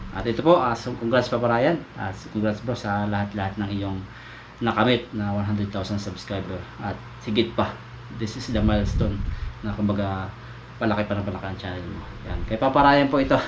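Amid noticeable background noise and audible room echo, a man talks at a fairly quick pace in a fairly low pitch with ordinary pitch variation. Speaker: vlogger. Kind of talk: casual vlog narration. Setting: outdoors by a river.

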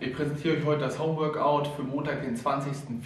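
A man talks with audible room echo. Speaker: fitness coach. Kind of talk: tutorial. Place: gym. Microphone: camera far.

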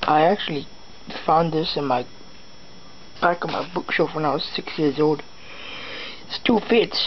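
A man speaks at a fairly slow pace with ordinary pitch variation over light background noise. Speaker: vlogger. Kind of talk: casual vlog chat. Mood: playful, storytelling. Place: home room. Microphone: webcam.

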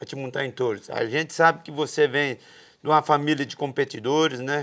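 Against a quiet background, a man with a fairly high pitch talks at a moderate pace with fairly even intonation. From Brazil. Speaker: podcast host, bull rider; podcast host. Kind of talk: interview. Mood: relaxed, friendly. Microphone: lapel.

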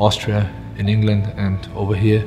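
A man speaks at a fairly slow pace with a fairly low pitch. Faint music plays in the background. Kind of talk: interview answer. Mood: reflective, warm, some laughter. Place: home room. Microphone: lapel.

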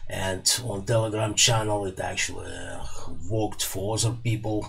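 With a Russian accent, a man talks at a fairly slow pace, his medium-pitched voice following a fairly even intonation. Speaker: electronics repair YouTuber. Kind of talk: tutorial. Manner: casual, hesitant with fillers. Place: workshop. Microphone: studio mic.

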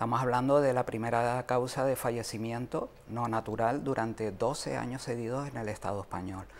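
Over light background noise, a man at a medium pitch talks at a moderate pace. His intonation is fairly even, and there are hardly any pauses. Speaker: mental health advocate. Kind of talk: interview. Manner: halting. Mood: earnest, concerned. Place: studio. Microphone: lapel.

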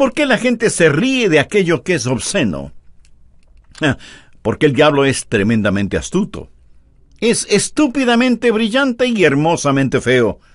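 Against a quiet background, a man speaks at a fairly slow pace, his pitch swinging very widely. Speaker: preacher. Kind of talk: sermon.

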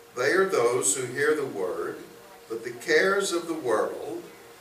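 A man talks with an American accent. Light background noise and audible room echo are present. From US South, Birmingham, Alabama. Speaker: bible teacher. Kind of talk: lecture. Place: classroom. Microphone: camera far.

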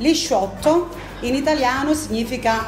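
Clear music plays in the background. Over it, a woman is speaking. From Amantea, Calabria, southern Italy. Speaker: cafe worker explaining a dialect word. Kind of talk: explaining a dialect word to camera. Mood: lively, expressive. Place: cafe.

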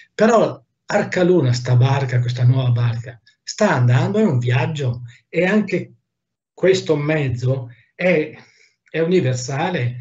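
A man speaks very slowly at medium pitch, his voice somewhat breathy. His intonation is lively, broken by long, frequent pauses. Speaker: artist, mask maker. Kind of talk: casual chat. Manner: animated.

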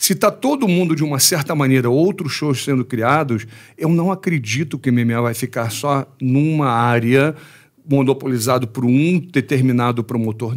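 A man keeps a moderate pace against a quiet background. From Brazil. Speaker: MMA coach and former fighter; MMA coach. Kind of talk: casual interview. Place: studio. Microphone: studio mic.

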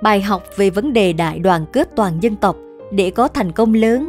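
A woman's medium-pitched voice at a very slow pace, with ordinary pitch variation and music in the background. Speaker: narrator of story videos and voice coach. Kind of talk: storytelling narration, historical anecdotes read aloud.

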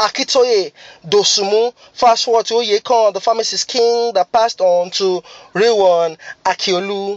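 With a Nigerian accent and fairly even intonation, the speaker goes at a fairly slow pace in a dry sound with no echo against a quiet background. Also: man. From Lagos, Nigeria. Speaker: spoken word poet. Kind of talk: spoken word poetry performance. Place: car. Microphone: phone near.

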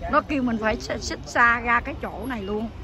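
A woman talks over noticeable background noise, her sound dry with no echo. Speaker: vlogger. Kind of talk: casual vlog chat. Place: street. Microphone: phone near.

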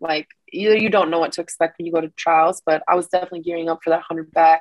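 The recording is dry, with no echo, and the background is quiet. It is an ordinary speaking voice with fairly even intonation. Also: woman. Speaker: interviewee. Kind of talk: interview answer. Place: home room. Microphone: webcam.

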